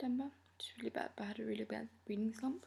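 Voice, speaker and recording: A woman talks in a soft-spoken way. Her pace is fairly quick. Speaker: book vlogger. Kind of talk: casual chat. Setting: filmed at night at home.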